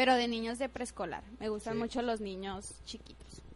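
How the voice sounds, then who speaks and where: A woman's voice with a fairly high pitch. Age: 20s. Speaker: student radio host. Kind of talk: casual chat. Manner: animated.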